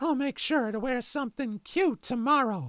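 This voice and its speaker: A put-on character voice at a fairly high pitch and moderate pace, on a very clean recording with a silent background. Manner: creepy, sickly sweet.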